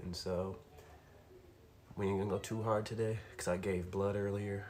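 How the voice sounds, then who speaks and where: In a room with audible echo, a soft-spoken man with a fairly low voice talks at a moderate pace in a relaxed tone with monotone, flat intonation. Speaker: fitness streamer. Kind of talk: casual live-stream chat. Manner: relaxed, with many fillers. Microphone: might be a little quiet.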